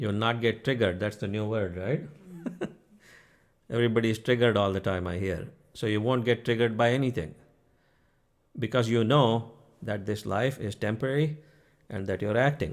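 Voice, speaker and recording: At a moderate pace, a man with an Indian accent speaks at a medium pitch with ordinary pitch variation and long, frequent pauses. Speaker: spiritual teacher. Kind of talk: spiritual talk to online audience. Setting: live stream. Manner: conversational, frequent 'okay?' check-ins.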